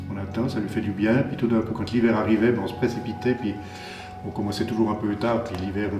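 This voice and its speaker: A man speaks at a fairly quick pace in a fairly low voice. Music plays in the background, and the room has an audible echo. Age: 60s. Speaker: winemaker. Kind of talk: interview. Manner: halting.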